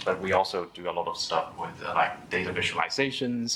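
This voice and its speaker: Noticeable background noise sits under the recording. A man speaks at a moderate pace. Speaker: data meetup organizer and speaker. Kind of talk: tech meetup talk. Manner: halting, many fillers.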